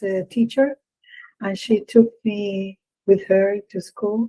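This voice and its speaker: A woman speaks at a very slow pace in a Spanish accent. Her medium pitch has a dark, mellow tone and fairly even intonation. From Puerto Rico. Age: 60s. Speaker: experimental vocalist. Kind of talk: interview answers. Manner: halting.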